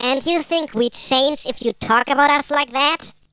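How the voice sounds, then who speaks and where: Cartoonish character voice, female-sounding and high in pitch. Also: moderate pace. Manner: cheeky, mocking.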